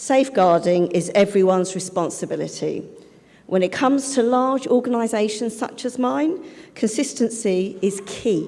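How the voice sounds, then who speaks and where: The speaker uses lively intonation at a moderate pace. Noticeable background noise can be heard. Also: woman, fairly high pitch for a woman. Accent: London. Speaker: charity head and safeguarding speaker. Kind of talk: conference talk. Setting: conference stage with interpreters.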